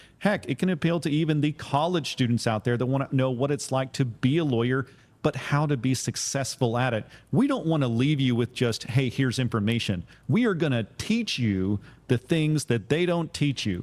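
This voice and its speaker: Over a silent background on a very clean recording, a man with a plain, everyday voice speaks at medium pitch and a moderate pace, his intonation lively. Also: very even loudness. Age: 40s. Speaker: criminal defense attorney and podcast host. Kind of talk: casual podcast chat.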